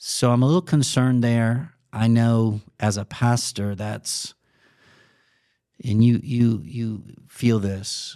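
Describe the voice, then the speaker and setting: A man with an American accent and a dark, mellow medium-pitched voice speaks very slowly, with long, frequent pauses and ordinary pitch variation, on a very clean recording with a silent background. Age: 60s. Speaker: pastor. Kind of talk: podcast interview.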